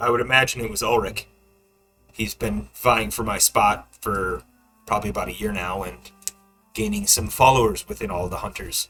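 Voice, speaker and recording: In a put-on, raspy character voice of medium pitch, a man talks at a moderate pace with long, frequent pauses while faint music plays in the background. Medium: actual play. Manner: cool, composed.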